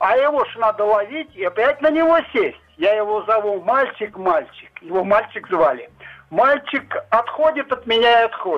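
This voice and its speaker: Here a man talks at a moderate pace. His voice is high, with lively intonation. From rural Russia. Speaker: caller. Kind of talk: phone-in storytelling. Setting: phone call. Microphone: dropping line.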